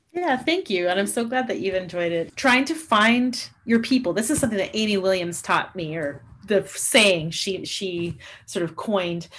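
A woman speaks at a moderate pace with lively intonation and a western Canadian accent. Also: medium pitch for a woman. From Canada, Alberta (Lloydminster). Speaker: saxophone professor. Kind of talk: interview.

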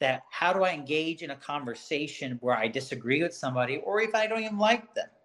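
Lively in intonation and fairly quick in pace, a man talks at a fairly high pitch with an American accent. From Birmingham, Alabama, US South. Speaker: school psychologist. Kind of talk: casual interview.

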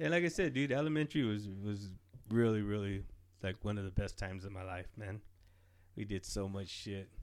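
A man with an ordinary speaking voice talks at a fairly quick pace. His pitch is fairly low and his intonation lively. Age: 40s. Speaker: podcast co-host. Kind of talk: casual chat.

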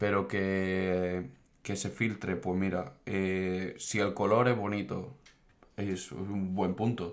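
A man's very deep, low voice at a very slow pace, fairly even in intonation, with audible room echo. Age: 20s. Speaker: engineering student. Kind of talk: casual chat.

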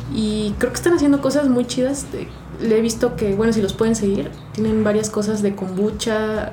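A woman talks at a moderate pace with a fairly high pitch, ordinary pitch variation and very even loudness. Audible room echo and noticeable background noise are present. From Mexico City. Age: 30s. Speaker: barista. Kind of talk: casual interview chat.

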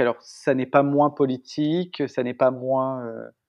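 A man delivers his words fairly slowly, his medium-pitched voice keeping a fairly even intonation. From northern France, Picardy. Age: 30s. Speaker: architect and artist. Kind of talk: interview. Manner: hesitant, many fillers.

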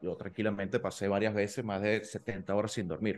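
Moderately paced speech from a man, fairly low in pitch. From Venezuela, Maturín (eastern interior). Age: 30s. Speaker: petroleum engineer and entrepreneur, MBA student. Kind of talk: casual interview. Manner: halting, frequent repetitions and fillers.

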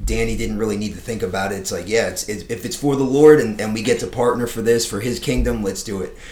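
Someone with an American accent speaks at a very fast pace with hardly any pauses, ordinary pitch variation and audible room echo. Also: man, fairly low pitch for a man. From South Florida. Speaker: pastor. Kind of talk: casual chat. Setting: studio.

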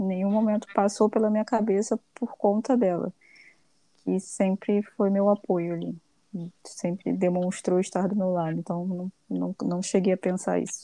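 A woman speaks fairly slowly in a dark, mellow tone, keeping a medium pitch and fairly even intonation. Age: 20s. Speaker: accountant. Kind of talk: interview.

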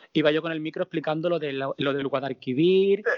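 Here is a man with a plain, everyday voice, pitched fairly high. His pace is fairly quick and his intonation fairly even. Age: 40s. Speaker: drag performer. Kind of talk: casual interview.

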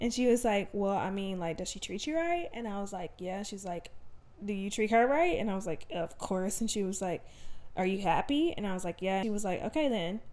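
Lively intonation from a woman in a Southern US accent, medium pitch and a fairly quick pace. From Alabama. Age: 20s. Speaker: podcast host. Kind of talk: casual monologue. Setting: home desk, no studio.

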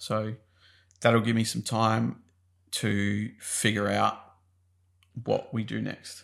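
In a very clean recording with a silent background, a man speaks at a very slow pace with long, frequent pauses. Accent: Australian. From Australia. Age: 30s. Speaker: podcast co-host, business owner. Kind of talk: casual chat.

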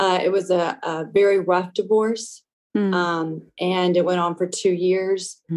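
This woman's voice sits at a medium pitch with monotone, flat intonation. Her pace is fairly slow. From Louisiana, US South. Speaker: testimony guest, nonprofit trustee and youth leader. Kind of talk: testimony, casual interview. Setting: phone call.

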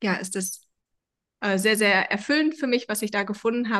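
A woman with an unremarkable speaking voice and a medium pitch talks at a moderate pace over a quiet background. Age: 40s. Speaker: founder of a self-help method. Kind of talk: interview. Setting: video call.

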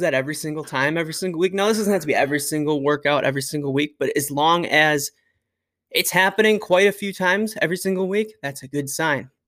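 On a very clean recording with a silent background, a man talks at a very fast pace, high in pitch with ordinary pitch variation. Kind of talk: coaching talk, instructing listeners on lifting technique. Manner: blunt, emphatic, coach-style cues with laughs; casual and conversational, filler words.

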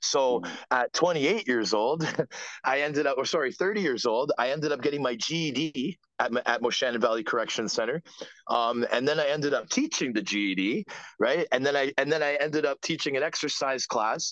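Over a quiet background, a man with a Canadian accent uses an ordinary speaking voice at a fairly high pitch and moderate pace, with ordinary pitch variation, very even loudness and a dry, close sound with no echo. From Canada (Ontario). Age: 40s. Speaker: former professional hockey player. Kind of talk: casual interview.

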